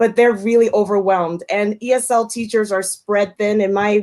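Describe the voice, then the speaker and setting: Using an ordinary speaking voice, a woman speaks at a moderate pace with a fairly high pitch. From United States, Puerto Rican family. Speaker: ESL teacher and YouTuber. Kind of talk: livestream panel introduction.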